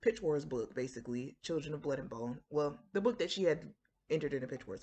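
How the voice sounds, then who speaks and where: This woman has a very deep, low pitch and an American accent. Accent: Floridian, somewhat suppressed. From Florida. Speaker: writer and book vlogger. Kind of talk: casual talk to camera. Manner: conversational with many fillers.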